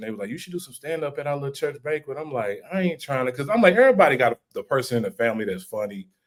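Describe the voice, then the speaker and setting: The speaker is a man with a fairly high-pitched voice. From St. Louis, Missouri, US. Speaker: comedian and content creator. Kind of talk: casual podcast interview. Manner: animated storytelling.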